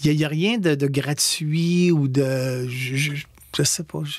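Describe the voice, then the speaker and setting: There is noticeable background noise behind the speaker. He is a man with a fairly high pitch. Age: 60s. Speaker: stage actor. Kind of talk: radio interview. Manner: halting.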